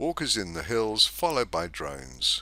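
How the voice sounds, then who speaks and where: A man talks fairly quickly in a very clean recording with a silent background. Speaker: narrator. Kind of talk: scripted narration.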